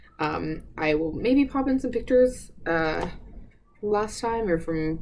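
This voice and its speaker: The speaker talks at a fairly slow pace. The intonation is lively. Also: woman. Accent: American. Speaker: knitting podcaster. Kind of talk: casual chat. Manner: stumbles over words.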